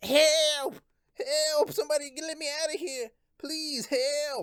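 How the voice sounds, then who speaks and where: The speaker uses a put-on character voice with a high pitch. Delivery is at a fairly slow pace. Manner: frightened, panicked.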